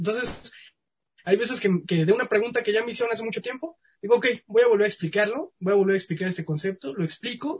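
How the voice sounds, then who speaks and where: A man's voice with a Mexican accent and ordinary pitch variation. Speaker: science communicator. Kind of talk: casual interview.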